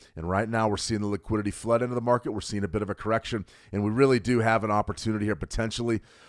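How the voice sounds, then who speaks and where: A man talks at a very fast pace in an American accent. His pitch sits in the middle range. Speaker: trading educator. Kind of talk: live trading webinar. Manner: animated.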